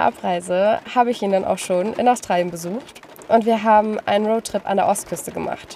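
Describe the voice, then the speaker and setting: Noticeable background noise sits behind a woman speaking at a moderate pace. Her pitch is fairly high, with ordinary pitch variation. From northern Germany, Lüneburg Heath. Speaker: travel podcaster. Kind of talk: personal monologue.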